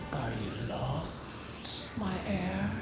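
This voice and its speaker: A man's put-on character voice, with slight echo and loud background noise. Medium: game stream. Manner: calm, eerily composed; unlike her usual self.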